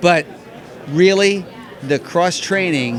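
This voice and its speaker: Against crowd noise in the background and audible room echo, the speaker talks at a fairly slow pace with ordinary pitch variation. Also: man. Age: 60s. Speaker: marathon runner. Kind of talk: casual interview.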